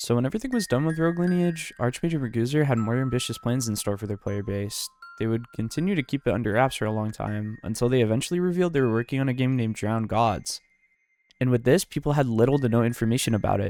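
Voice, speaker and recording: Music plays in the background as a man talks at a very fast pace. His pitch is medium, with ordinary variation. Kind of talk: casual gaming commentary video narration.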